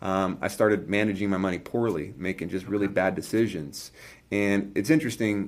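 Spoken in a normal speaking voice with an American accent, the delivery shows ordinary pitch variation. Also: man, fairly low pitch for a man, fairly quick pace. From California. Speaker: entrepreneur. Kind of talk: casual chat.

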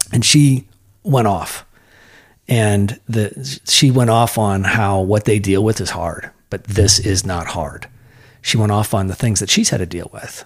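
A man speaks at a fairly slow pace in a fairly low pitch. His voice is somewhat breathy, and the recording is very clean with a silent background. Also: ordinary pitch variation. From US Midwest, Iowa. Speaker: lawyer and nonprofit founder. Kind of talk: casual interview conversation. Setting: home garage studio.

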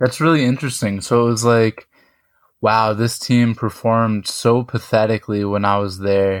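In a very clean recording with a silent background, a man with an unremarkable speaking voice and medium pitch speaks at a moderate pace with fairly even intonation. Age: 20s. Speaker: podcast host. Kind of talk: interview.

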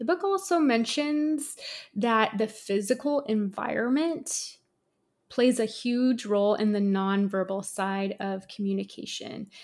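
On a very clean recording with a silent background, a woman talks fairly slowly at a fairly high pitch with lively intonation. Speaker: podcast host, esthetician. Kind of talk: solo educational monologue. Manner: often laughs.

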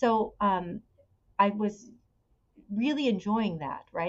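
A woman talks with a Californian accent at a medium pitch. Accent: Californian American. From California, Bay Area. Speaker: podcast guest sharing personal story. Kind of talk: personal testimony in interview.

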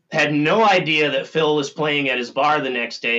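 This is a man with an American accent and an ordinary speaking voice. He talks at a fairly high pitch and a moderate pace. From Minnesota. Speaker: author and longtime deadhead. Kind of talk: casual chat.

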